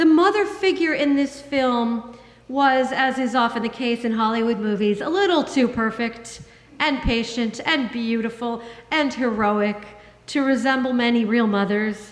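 Audible room echo surrounds a fairly slow delivery with ordinary pitch variation. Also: woman, high pitch for a woman. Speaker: minister. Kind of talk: sermon. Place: church. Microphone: podium.

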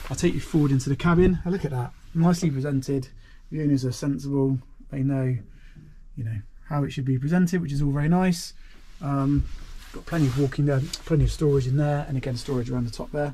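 Somewhat breathy and dark, mellow in tone, a man's voice races along very fast with fairly even intonation. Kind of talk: walkthrough commentary. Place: boat. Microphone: phone near.

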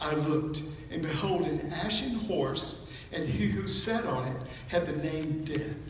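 Audible room echo and light background noise surround a man's voice. He speaks at a fairly slow pace with lively intonation. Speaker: preacher. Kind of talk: sermon. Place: church.

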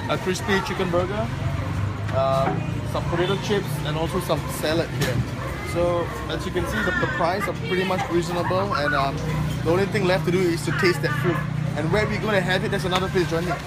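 Over clear music in the background, a man speaks at a fairly quick pace with ordinary pitch variation. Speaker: food vlogger. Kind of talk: casual vlog chat. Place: market. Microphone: phone near.

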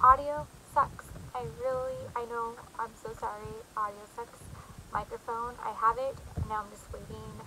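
Over light background noise, a woman speaks at a fairly slow pace with big swings in loudness. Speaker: vlogger. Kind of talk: casual vlog chat. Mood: apologetic, warm. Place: home room. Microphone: phone near.

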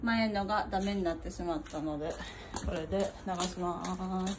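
A woman speaks at a very slow pace with ordinary pitch variation over loud background noise. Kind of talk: casual vlog chat. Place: street. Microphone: phone near.

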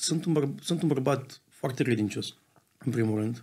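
At a fairly quick pace, a man delivers his words. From Romania. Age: 20s. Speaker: football club co-owner; podcast guest. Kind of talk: casual interview. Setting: studio. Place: studio. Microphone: studio mic.

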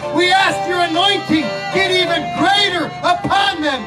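Clear music plays in the background while the speech moves at a fairly slow pace. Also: man. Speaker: church minister. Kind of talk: prayer. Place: street. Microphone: handheld.

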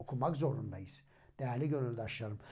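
A man's voice is dark and mellow in tone. It sounds somewhat breathy. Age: 40s. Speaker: religious YouTuber, hafiz. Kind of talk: religious storytelling monologue.

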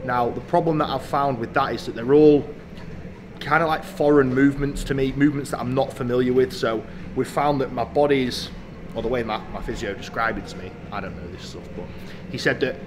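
The man's loudness swings widely as he speaks at a fairly quick pace. Noticeable background noise runs underneath. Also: ordinary pitch variation. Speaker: fitness vlogger. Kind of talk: casual vlog chat. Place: gym.

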